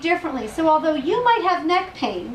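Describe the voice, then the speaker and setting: Enthusiastic woman's voice at an extremely high pitch, with audible room echo and noticeable background noise. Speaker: health practitioner and product distributor. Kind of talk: testimony and sales presentation. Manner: fast.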